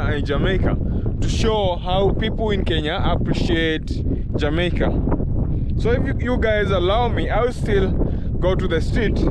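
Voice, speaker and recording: A man talks at a fairly slow pace. The sound is dry with no echo, over loud background noise. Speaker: vlogger. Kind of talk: casual vlog chat. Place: open country. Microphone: phone near.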